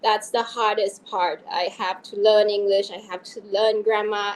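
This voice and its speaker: With a non-native accent, a woman speaks at a moderate pace and a fairly high pitch. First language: not English. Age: 40s. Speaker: fantasy author. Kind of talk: interview.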